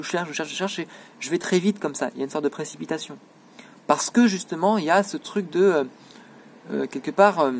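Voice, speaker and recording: A man talks very fast at a high pitch with ordinary pitch variation. Long, frequent pauses break up his speech. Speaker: student making a self-filmed video diary. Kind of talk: self-recorded monologue. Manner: hesitant, many fillers.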